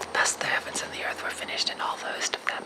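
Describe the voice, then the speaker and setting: Whispered words come at a fairly quick pace against noticeable background noise. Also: man. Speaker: ASMR creator. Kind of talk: ASMR Bible reading.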